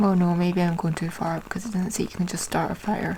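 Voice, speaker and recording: A woman is soft-spoken. Noticeable background noise sits behind her. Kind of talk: soft-spoken ASMR ramble.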